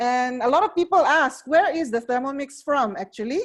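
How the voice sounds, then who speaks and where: A woman with a Filipino accent and very wide swings in pitch. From Philippines. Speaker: cooking appliance sales advisor. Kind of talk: product demonstration. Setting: online video presentation.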